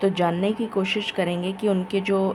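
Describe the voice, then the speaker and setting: A woman speaks quietly at a very slow pace, her pitch medium. Noticeable background noise is present. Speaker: tarot reader. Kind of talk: tarot reading monologue.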